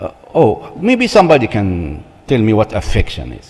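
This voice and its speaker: Speaking at a very slow pace with a non-native accent, a man is heard over noticeable background noise. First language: not English. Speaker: church marriage seminar speaker. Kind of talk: seminar talk.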